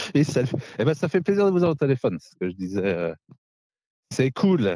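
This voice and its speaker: At a fairly quick pace, a man with a dark, mellow tone and a medium pitch speaks with very wide pitch swings and big shifts in loudness, in a dry, close sound with no echo. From Lorraine, north-east France. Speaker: winemaker. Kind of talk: casual chat. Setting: outdoors in vineyards. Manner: cheerful.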